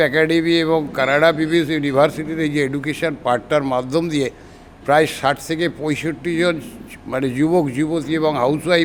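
A man speaks at a fairly high pitch with fairly even intonation over noticeable background noise. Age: 60s. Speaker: customer giving a testimonial. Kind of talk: testimony.

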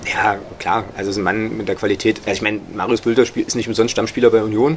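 Light background noise sits beneath speech delivered at a very fast pace. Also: man. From Saxony-Anhalt, Magdeburg; Saxony-Anhalt. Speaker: author and football blogger; football blogger. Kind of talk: interview. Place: home room. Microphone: studio mic.

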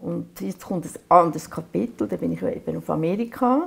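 In a Swiss accent, a woman talks at a moderate pace in a fairly low voice. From Aargau, Switzerland. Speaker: painter. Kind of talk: oral history interview answer. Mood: calm, reflective, gently animated. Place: workshop.

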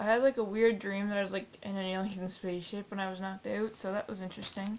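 A woman talks at a moderate pace. There is light background noise. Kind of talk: casual vlog chat. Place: home room. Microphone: webcam.

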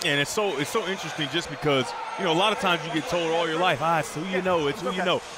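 A man with an animated tone, high pitch, ordinary pitch variation and a very fast pace over noticeable background noise. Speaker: color analyst. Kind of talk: live sports commentary. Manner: animated, analytical, explanatory.

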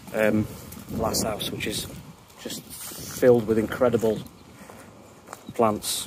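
A man speaks with a fairly low pitch and monotone, flat intonation. The sound is dry with no echo, though background noise is noticeable. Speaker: garden vlogger. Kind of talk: casual vlog chat. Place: garden. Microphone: phone near.

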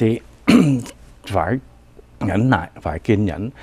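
A man's voice carries a dark, mellow tone as he talks at a fairly slow pace. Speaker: financial advisor. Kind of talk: financial segment talk.

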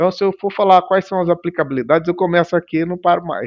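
In a quiet background, a man speaks with a high pitch. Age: 50s. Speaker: tech company founder; guest. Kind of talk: interview. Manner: halting. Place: home room. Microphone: headset.

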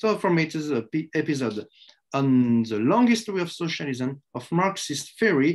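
In a French accent, a man talks at a fairly high pitch with very wide pitch swings. His pace is moderate and the background is quiet. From France. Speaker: history professor. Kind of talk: academic lecture. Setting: web conference. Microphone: webcam.

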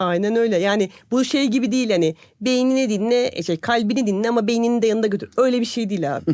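Very fast speech with hardly any pauses. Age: 40s. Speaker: podcast co-host, corporate employee. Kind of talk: casual chat.

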